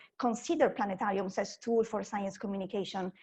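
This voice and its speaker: Somewhat breathy and dark, mellow in tone, a woman speaks with an Italian accent at a fairly high pitch with ordinary pitch variation. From Italy. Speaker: science communicator. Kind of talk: conference talk.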